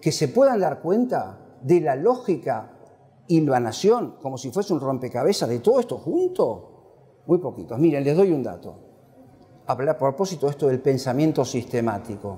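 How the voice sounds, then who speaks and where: A man's fairly high, somewhat breathy voice with a dark, mellow tone, very wide pitch swings and a moderate pace. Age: 70s. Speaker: professor. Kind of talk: book presentation lecture. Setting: classroom with audience. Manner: animated.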